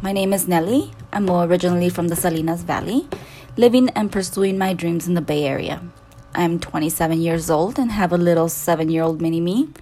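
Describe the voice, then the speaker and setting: A woman speaks at a moderate pace in a fairly low pitch with ordinary pitch variation. Noticeable background noise runs under her voice. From Salinas Valley, California. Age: 20s. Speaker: podcast host.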